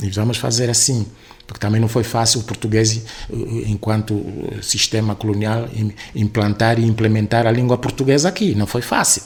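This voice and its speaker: A man speaks with monotone, flat intonation against noticeable background noise. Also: medium pitch for a man, moderate pace. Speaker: writer and university lecturer. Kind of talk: interview.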